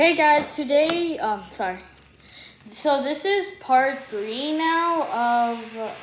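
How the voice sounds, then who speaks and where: Soft-spoken, a woman talks at a very slow pace with audible room echo. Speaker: YouTuber doing cube unboxing. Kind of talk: casual unboxing video. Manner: halting.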